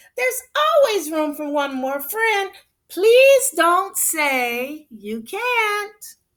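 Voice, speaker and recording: A put-on character voice moves at a very slow pace. Its pitch makes very wide swings. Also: woman, extremely high pitch for a woman. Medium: read story. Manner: warm, welcoming.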